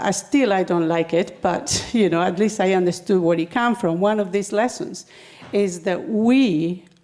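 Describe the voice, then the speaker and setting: With a Spanish accent, a woman speaks at medium pitch with ordinary pitch variation. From Spain. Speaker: spiritual speaker. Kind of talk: talk to a congregation. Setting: spiritual center service with audience. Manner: halting, with fillers.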